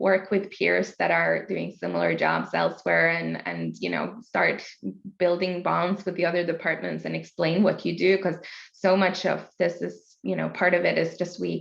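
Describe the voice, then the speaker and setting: Speaking at a moderate pace, a woman talks with a Norwegian accent. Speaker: international expansion and marketing leader. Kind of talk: interview.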